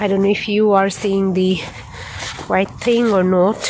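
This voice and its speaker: The speaker is a woman. She talks with a Nepali accent. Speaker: nurse vlogger. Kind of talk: casual vlog while walking. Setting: outdoors. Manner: halting.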